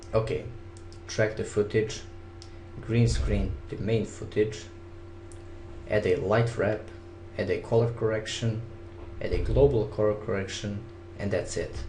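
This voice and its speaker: Speaking with a non-native accent at a fairly slow pace, a man leaves long, frequent pauses amid audible room echo. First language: not English. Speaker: video editing hobbyist, contest winner. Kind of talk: software tutorial. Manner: casual, step-by-step instruction.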